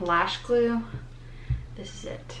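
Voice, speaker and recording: Over noticeable background noise, a woman talks at a moderate pace with ordinary pitch variation. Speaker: lifestyle vlogger. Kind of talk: casual vlog chat. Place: bathroom. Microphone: phone near.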